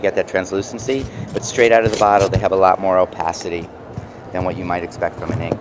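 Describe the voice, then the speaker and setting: Against noticeable background noise, a man with a fairly low voice speaks at a fairly quick pace with fairly even intonation. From New York. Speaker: mixed media artist. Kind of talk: product demo. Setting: trade show booth. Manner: casual, halting with fillers.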